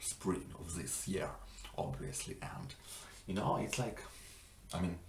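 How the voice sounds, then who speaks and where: With a non-native accent, a man talks fairly slowly at a very deep, low pitch, amid noticeable background noise and audible room echo. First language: not English. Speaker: language learning vlogger. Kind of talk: casual vlog monologue. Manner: halting, many fillers.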